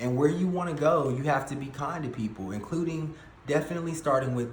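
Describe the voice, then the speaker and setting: A man's voice with audible room echo. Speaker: tarot reader. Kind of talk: tarot reading monologue. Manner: halting with fillers.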